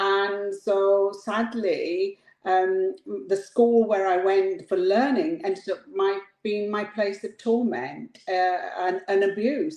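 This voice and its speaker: A woman speaks with a medium pitch and ordinary pitch variation. She goes at a very slow pace. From England, rural mining town. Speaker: motivational speaker and coach, former prison governor. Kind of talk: personal testimony interview. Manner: hesitant, many fillers.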